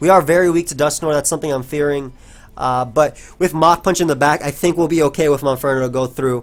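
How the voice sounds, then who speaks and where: A man talks at a very fast pace. His pitch is fairly high and his intonation fairly even. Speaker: gaming commentator. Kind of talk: live gameplay commentary. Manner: casual, filler-heavy.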